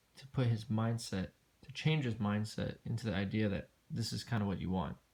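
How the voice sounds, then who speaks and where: Here is a plain, everyday voice. A man speaks fairly quickly at a fairly low pitch with ordinary pitch variation. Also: big swings in loudness. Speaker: dog trainer. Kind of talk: tutorial. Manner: casual, filler-heavy speech.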